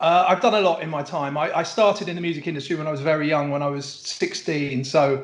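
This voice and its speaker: Hardly pausing, a man speaks at a very fast pace. His pitch is fairly high, with ordinary variation. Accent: English. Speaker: music lawyer. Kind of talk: interview.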